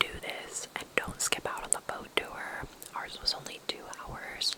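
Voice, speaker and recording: A woman whispering in a gentle tone at a very slow pace, with noticeable background noise. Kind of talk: ASMR travel guide, whispered to camera. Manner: whispered, soft, gentle.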